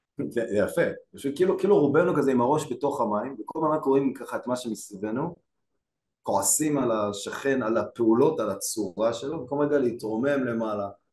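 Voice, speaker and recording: Lively intonation and a moderate pace come through with audible room echo. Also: man. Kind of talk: casual study discussion. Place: home room. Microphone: video call.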